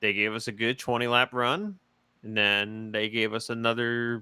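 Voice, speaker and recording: Delivered at a fairly slow pace, the bright, sharp voice has a dry, close sound with no echo in a very clean recording with a silent background. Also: man. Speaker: sim racing commentator. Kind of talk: post-race casual chat.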